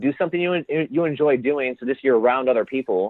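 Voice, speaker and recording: With an American accent, a man speaks fairly quickly at a fairly high pitch. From Indiana, USA. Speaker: entrepreneur, social club founder. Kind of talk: interview answer.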